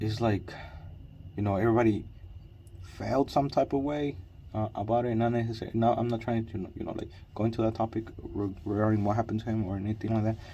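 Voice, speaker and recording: Speaking at a very fast pace yet with long, frequent pauses, a man uses a medium pitch, fairly even intonation and a dark, mellow tone. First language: Spanish. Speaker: vlogger. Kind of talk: personal vlog monologue. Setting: in a car with headlamp. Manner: halting, repetitive with fillers.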